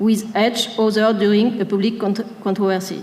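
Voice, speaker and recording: Noticeable background noise and audible room echo surround the recording. A woman talks at a moderate pace in a fairly high pitch. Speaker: researcher presenting a project. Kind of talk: conference presentation read from text. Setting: stage with audience. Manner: reading from script, halting.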